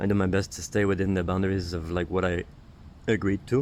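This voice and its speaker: Fairly even in intonation, a man speaks at a very deep, low pitch. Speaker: spiritual healer and vlogger. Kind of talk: stream-of-consciousness monologue. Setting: outdoors, sitting in the grass. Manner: soft-spoken, lowered voice; halting, many fillers.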